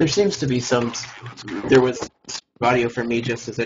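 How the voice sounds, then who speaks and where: A man with a medium pitch delivers his words at a fairly quick pace. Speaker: esports match commentator (shoutcaster). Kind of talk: live esports game commentary.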